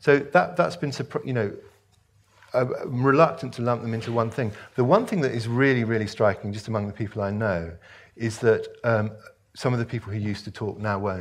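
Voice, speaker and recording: This man has a British accent. He talks at a fairly quick pace. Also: ordinary pitch variation. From Hong Kong, British expatriate. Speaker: author. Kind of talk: onstage interview and Q&A. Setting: stage with audience. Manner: hesitant, repeats words when starting. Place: stage. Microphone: headset.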